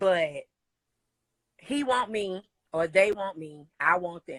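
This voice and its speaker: Dry and close with no echo, a woman's medium-pitched voice has an animated tone and lively intonation. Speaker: singer. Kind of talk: interview. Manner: casual, animated.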